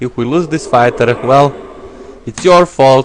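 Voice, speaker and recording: Someone with a non-native accent talks at a fairly slow pace over noticeable background noise. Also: man. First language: not English. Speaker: gaming YouTuber. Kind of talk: let's play commentary. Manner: casual, thinking aloud with hesitations.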